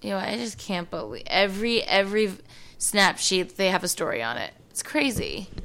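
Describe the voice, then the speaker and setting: Lively intonation comes through in an American accent over noticeable background noise. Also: woman, medium pitch for a woman. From US East Coast. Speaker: TV host. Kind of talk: casual chat. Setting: studio. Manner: fast talker; loud.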